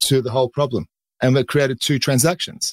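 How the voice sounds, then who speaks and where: Recorded very cleanly with a silent background, this man's voice sounds dry and close with no echo. He talks at a fairly quick pace with a fairly high pitch. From Australia. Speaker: carbon market broker. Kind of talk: casual chat. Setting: studio.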